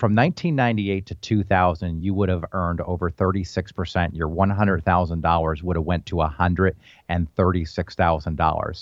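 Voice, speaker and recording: A fairly quick pace against a quiet background. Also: man. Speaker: financial advisor. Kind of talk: radio talk, sales pitch.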